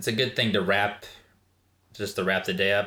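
Speaking at a fairly quick pace, a man with a Midwestern American accent has a fairly low pitch and a bright, sharp tone. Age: 30s. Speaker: fitness enthusiast and father. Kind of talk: casual chat.

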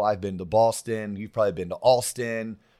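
A man with a Florida accent speaks at a moderate pace in an animated tone, with a fairly low pitch. The recording is very clean, with a silent background. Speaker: podcast host. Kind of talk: casual interview chat. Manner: animated, excitable.

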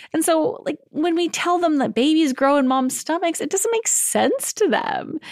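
A woman speaks at an extremely high pitch, with very wide pitch swings. She keeps a moderate pace with hardly any pauses. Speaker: life coach and parenting podcast host. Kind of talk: advice podcast monologue. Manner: clear and confident.

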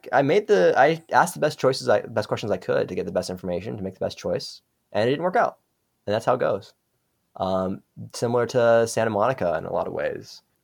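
A man talks fairly quickly in an American accent, captured in a very clean recording with a silent background. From Brazil, then US from elementary school. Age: 20s. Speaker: software engineer. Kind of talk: casual interview.

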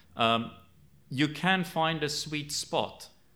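A man's voice with a bright, sharp tone. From South Africa. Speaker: entrepreneur. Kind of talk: interview. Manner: halting.

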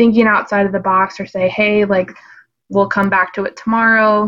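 A woman with a normal speaking voice, medium pitch, and fairly even intonation. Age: 20s. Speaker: dog sitting business owner. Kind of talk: casual interview.

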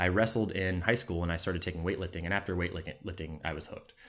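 In a very clean recording with a silent background, a man with an American accent talks very fast in a very deep, low voice with ordinary pitch variation. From US South, Jacksonville, Florida. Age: 30s. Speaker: personal trainer and former reality show contestant. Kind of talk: casual interview.

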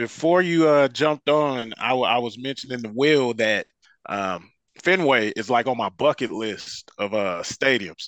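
A man with an American accent, medium pitch and an ordinary speaking voice, in a dry, close sound with no echo and a quiet background. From Detroit, Michigan. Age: 40s. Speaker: football fan, uncle of an NFL player. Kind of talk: casual chat.

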